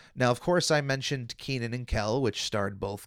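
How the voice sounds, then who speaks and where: The recording is very clean, with a silent background. A man uses a normal speaking voice at medium pitch and a moderate pace, with ordinary pitch variation. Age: 30s. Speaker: podcast host. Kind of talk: solo podcast commentary. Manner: casual with frequent fillers.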